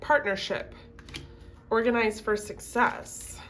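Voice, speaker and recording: A plain, everyday voice at a fairly slow pace. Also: woman. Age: 20s. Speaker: tarot reader. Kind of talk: casual talk to camera.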